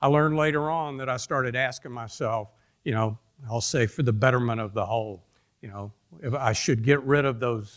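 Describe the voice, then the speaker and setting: A man with a Georgia accent at a fairly quick pace and medium pitch, with ordinary pitch variation, in a very clean recording with a silent background. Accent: Georgia southern. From US South, Atlanta, Georgia. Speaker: industry executive speaker. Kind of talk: conference talk. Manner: halting.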